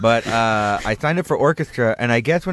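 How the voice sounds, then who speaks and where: A man with a plain, everyday voice speaks at a moderate pace and medium pitch, with lively intonation and a dry, close sound with no echo over a quiet background. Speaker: radio host. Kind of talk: casual chat. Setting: studio.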